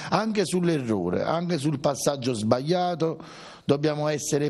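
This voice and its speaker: A man's voice at a moderate pace with lively intonation. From Italy. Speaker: football supporters' club member. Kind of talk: TV interview. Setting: supporters' club venue. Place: home room. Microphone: handheld.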